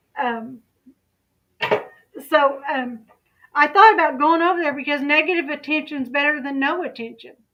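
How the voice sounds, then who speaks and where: Raising and projecting her voice, a woman speaks at a high pitch in a bright, sharp tone. Her pace is moderate and her pitch variation ordinary. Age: 50s. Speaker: YouTube commentary channel host. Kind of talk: casual livestream chat.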